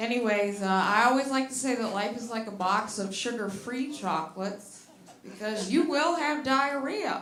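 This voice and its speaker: Against noticeable background noise and audible room echo, a woman with an American accent speaks at a moderate pace, her pitch fairly high and her intonation lively. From US Midwest, Detroit, Michigan. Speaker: stand-up comedian. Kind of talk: stand-up. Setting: stage with audience.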